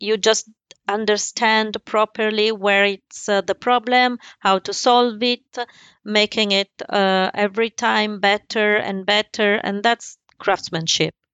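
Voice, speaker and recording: A woman with an Italian accent speaks very slowly in a fairly high, monotone, flat voice. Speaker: embroidery business owner. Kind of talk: interview. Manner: halting.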